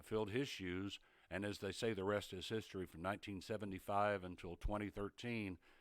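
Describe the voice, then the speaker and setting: This man has an East Tennessee accent and a fairly low pitch. His intonation is fairly even. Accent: Southern US (East Tennessee). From East Tennessee, US South. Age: 70s. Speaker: retired TV sportscaster. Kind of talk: casual interview chat.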